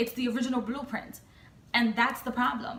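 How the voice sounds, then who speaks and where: A woman's high-pitched, animated voice amid noticeable background noise and audible room echo. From United States. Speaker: tarot reader and vlogger. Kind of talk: casual rant vlog. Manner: halting with repetitions.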